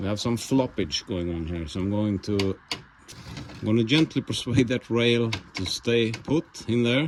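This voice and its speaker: A man with a Swedish accent talks at a moderate pace, medium in pitch with ordinary pitch variation. Background noise is noticeable. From Sweden. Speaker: YouTube mechanic / tractor restorer. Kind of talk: casual workshop vlog narration. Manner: hesitant, with many fillers.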